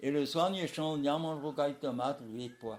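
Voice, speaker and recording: This man's fairly high pitch shows ordinary variation. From Réunion. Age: 80s+. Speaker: retired road builder. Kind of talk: interview answer. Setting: home living room.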